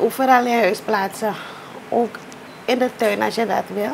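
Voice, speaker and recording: A woman talks at a moderate speed with light noise behind her. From Suriname. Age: 40s. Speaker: teacher and artist. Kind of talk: interview; tutorial. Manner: halting. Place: home room.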